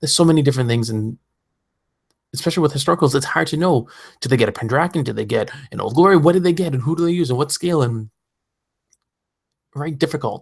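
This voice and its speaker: In a very clean recording with a silent background, a man with a fairly high, somewhat breathy voice talks very fast yet takes long, frequent pauses, his pitch varying in an ordinary way. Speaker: podcast host. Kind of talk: podcast monologue. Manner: high energy.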